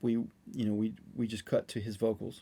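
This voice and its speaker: This man has a dark, mellow tone and an American accent. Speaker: session and touring drummer. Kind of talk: casual interview chat. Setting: studio. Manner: halting, many restarts and fillers.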